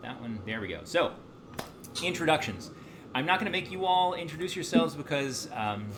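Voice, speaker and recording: With an American accent, the speaker's pitch swings very widely across long, frequent pauses, with audible room echo and noticeable background noise. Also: man, fairly high pitch for a man, fairly quick pace. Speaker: university lecturer. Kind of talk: lecture. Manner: fast; animated.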